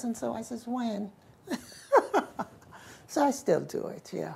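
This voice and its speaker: The speaker has a Southern US accent and big swings in loudness. Long pauses come often. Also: woman. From South Carolina. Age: 80s+. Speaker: community activist. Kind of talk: interview answer.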